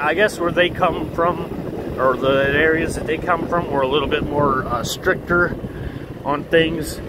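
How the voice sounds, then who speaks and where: Fairly even intonation and a moderate pace come through audible room echo and noticeable background noise. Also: man. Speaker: vlogger. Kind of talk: casual vlog monologue. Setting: outdoors, riding a scooter. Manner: loud.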